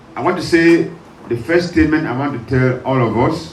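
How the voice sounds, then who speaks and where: With audible room echo and noticeable background noise, a man speaks at a moderate pace. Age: 60s. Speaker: pastor. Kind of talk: sermon. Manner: halting, pausing for interpreter.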